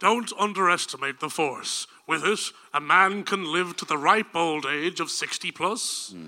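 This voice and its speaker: A man speaks at a moderate pace. His pitch is high, with ordinary pitch variation. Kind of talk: comic parody film read. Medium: stage play. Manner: menacing, portentous, self-mocking.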